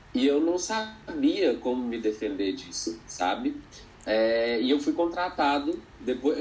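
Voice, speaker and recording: A man's voice with audible room echo. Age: 20s. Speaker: educator. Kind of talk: interview conversation.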